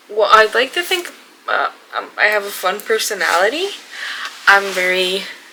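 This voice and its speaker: A woman with a Spanish accent, medium pitch, lively intonation, long, frequent pauses, and noticeable background noise. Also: moderate pace. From Mexico. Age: 20s. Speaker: book vlogger. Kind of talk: casual vlog. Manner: halting, many fillers.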